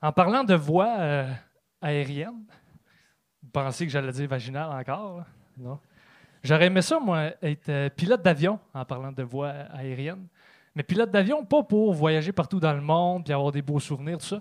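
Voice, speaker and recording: In a very clean recording with a silent background, a speaker with a Quebec accent moves at a moderate pace, with ordinary pitch variation and long, frequent pauses. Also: man, fairly high pitch for a man. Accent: Québécois French. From Trois-Rivières, Quebec. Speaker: stand-up comedian. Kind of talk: stand-up. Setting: stage with audience.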